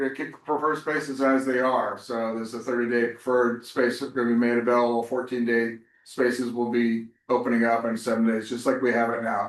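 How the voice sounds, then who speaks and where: An ordinary speaking voice: a man at a medium pitch, talking at a fairly quick pace with fairly even intonation. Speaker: ferry operator official presenting a project. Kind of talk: public information session presentation.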